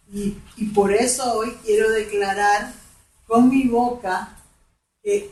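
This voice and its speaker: In a room with audible echo, a woman talks at a very slow pace with fairly high pitch and fairly even intonation. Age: 60s. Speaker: women's ministry speaker. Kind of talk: testimony.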